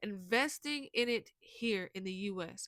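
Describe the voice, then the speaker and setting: A woman speaks with an American accent at a medium pitch. The sound is dry and close, with no echo. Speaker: commentary channel host. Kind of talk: opinion commentary monologue. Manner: halting, many repetitions and restarts.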